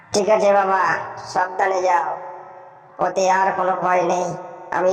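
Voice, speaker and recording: A cartoonish character voice that sounds female, at a medium pitch, delivers flat, monotone lines at a fairly slow pace with a clear echo. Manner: soft, motherly.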